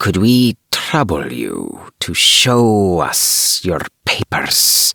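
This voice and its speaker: A man hisses his way through a put-on character voice at a very slow pace. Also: medium pitch for a man. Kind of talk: bedtime story. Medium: read story. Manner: formal, clipped.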